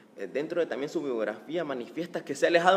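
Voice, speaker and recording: A fairly high-pitched man with lively intonation and noticeable background noise. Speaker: interviewer, talk show host. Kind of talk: interview.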